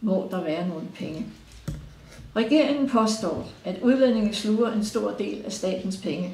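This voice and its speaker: Ordinary pitch variation at a fairly slow pace, with noticeable background noise and audible room echo. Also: woman. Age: 70s. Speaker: pensioner. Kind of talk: prepared statement read aloud. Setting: recorded interview.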